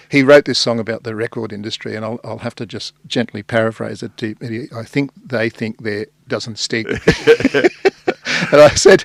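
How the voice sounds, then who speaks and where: Fairly quick speech with an Australian accent, the sound dry and close with no echo. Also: man. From Sydney, Australia. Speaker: journalist and songwriter. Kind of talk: casual chat. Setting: radio studio.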